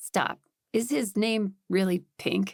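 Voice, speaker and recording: This is a put-on character voice. Its pitch varies in an ordinary way. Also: woman. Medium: read story. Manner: wry, joking.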